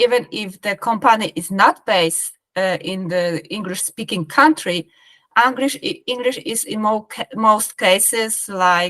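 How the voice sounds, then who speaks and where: In a Polish accent, a woman speaks fairly slowly in a bright, sharp tone, the sound dry and close with no echo. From Poland (Krakow). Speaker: business professional. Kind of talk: interview. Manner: halting.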